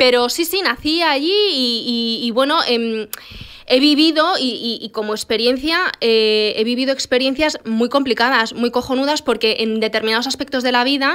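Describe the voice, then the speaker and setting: A high-pitched woman at a moderate pace, with ordinary pitch variation, against a quiet background. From Spain, Moroccan family (born in Morocco, moved as a baby). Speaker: podcast co-host. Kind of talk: casual chat. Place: studio. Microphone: studio mic.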